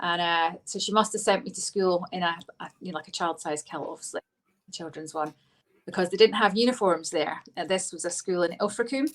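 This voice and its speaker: With a Scottish accent, a woman talks at a fairly quick pace and medium pitch, showing ordinary pitch variation and big swings in loudness. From Scotland, Lanarkshire (Biggar), then Devon from age ten. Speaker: politician. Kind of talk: interview. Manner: hesitant, many fillers.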